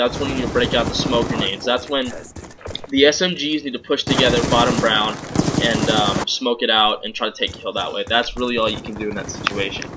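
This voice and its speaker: A medium-pitched man with ordinary pitch variation talks at a fairly quick pace over noticeable background noise. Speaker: competitive gamer giving gameplay commentary. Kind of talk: gameplay commentary tutorial. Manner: halting, with repeated words.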